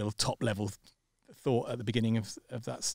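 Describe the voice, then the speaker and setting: In a dry, close recording with no echo, a man with a British accent speaks in a flat monotone. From Britain. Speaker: startup co-founder. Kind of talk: casual chat. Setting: studio. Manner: halting.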